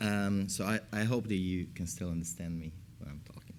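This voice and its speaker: A man with an Italian accent at a moderate pace. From Italy. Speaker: academic researcher. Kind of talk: panel discussion.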